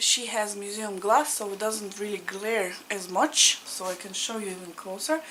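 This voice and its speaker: A woman with a Russian accent speaks at a moderate pace and a medium pitch, with ordinary pitch variation. She takes hardly any pauses, her loudness swings widely, and background noise is noticeable. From Latvia (Riga), Russian-speaking. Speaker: cross-stitch vlogger. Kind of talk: casual chat. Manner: informal, with hesitations.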